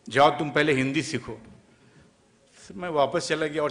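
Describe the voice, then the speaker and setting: Noticeable background noise sits behind a man with a fairly high pitch and ordinary pitch variation. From Kolkata, West Bengal, India. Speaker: film actor. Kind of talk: speech at an event.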